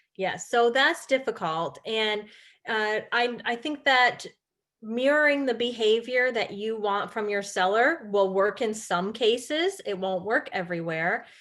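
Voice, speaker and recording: An ordinary speaking voice with an American accent, ordinary pitch variation and a fairly slow pace. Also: woman, fairly high pitch for a woman. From upstate New York, St Lawrence County. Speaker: real estate agent and trainer. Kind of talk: webinar presentation. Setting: online webinar.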